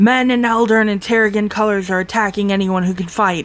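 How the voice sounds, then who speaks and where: A put-on character voice, fairly high in pitch, rattles along at a fairly quick pace. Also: female-sounding voice. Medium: read story. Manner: grim.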